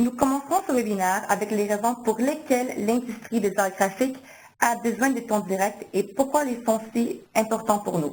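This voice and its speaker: Here a woman speaks at a fairly high pitch with ordinary pitch variation. Her pace is moderate. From Quebec, Canada. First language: English (speaking French). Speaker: marketing manager, webinar host. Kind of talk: webinar introduction.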